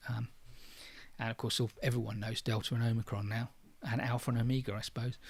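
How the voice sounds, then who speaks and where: In a flat monotone, a man talks with a somewhat breathy voice. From London, England. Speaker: online course creator, trainer. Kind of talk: livestream Q&A. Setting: livestream. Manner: natural pace, faster than his videos; hesitant, many fillers.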